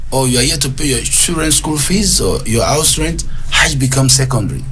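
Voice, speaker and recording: Over music in the background and audible room echo, a man speaks at a fairly quick pace. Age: 60s. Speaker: hajj commission official. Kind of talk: radio interview.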